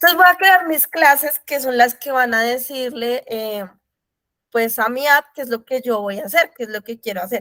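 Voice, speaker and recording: A woman talks at a high pitch with ordinary pitch variation. Her sound is dry and close, with no echo. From Colombia. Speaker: programming mentor. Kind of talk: tutorial.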